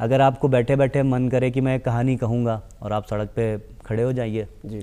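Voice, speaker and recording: The tone is dark and mellow. A man talks fairly slowly. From Lucknow, Uttar Pradesh, India; Uttar Pradesh. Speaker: actor and casting director; actor. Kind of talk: TV interview. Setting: TV studio. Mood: calm, thoughtful. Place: studio. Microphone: lapel.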